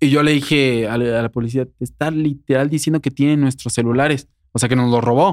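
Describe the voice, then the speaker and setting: Using an ordinary speaking voice, a man speaks at medium pitch and a fairly quick pace with fairly even intonation. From Querétaro, Mexico. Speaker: singer and influencer. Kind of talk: interview.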